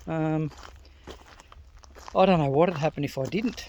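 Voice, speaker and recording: Amid noticeable background noise, a man with an Australian accent speaks in a fairly high pitch with ordinary pitch variation. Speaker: men's wellbeing vlogger. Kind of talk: casual monologue. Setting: outdoors, walking in forest. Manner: gets loud when passionate; halting, many fillers.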